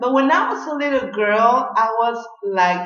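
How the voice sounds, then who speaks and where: Amid noticeable background noise and audible room echo, a woman with a Mexican accent talks at a fairly high pitch with lively intonation. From Mexico. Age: 30s. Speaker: beauty vlogger. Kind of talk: tutorial.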